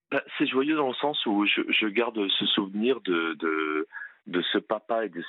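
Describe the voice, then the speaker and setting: Lively intonation marks this man's fairly low voice. He speaks at a very slow pace. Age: 50s. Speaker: police officer. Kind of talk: testimony.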